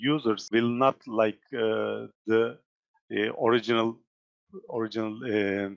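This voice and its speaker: A man speaks with a Turkish accent. His pace is fairly slow. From Turkey. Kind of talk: software tutorial. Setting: live online session. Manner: halting, many fillers.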